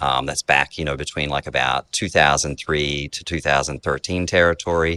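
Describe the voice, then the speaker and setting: Speaking at a moderate pace, a man with an Australian accent has a very deep, low voice and fairly even intonation. The sound is dry and close, with no echo. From Australia (rural Queensland cane farms). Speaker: software company executive. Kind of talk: interview. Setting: basement of a beer hall restaurant.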